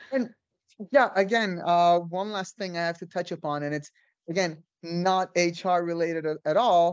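Against a quiet background, a woman talks at a moderate pace in a normal speaking voice with ordinary pitch variation. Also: fairly low pitch for a woman. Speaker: podcast host. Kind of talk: casual interview chat.

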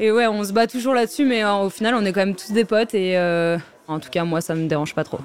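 The woman talks at a fairly quick pace with a medium pitch. Her pitch variation is ordinary. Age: 20s. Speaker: professional snowboarder. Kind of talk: interview testimony. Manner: hesitant, many fillers.

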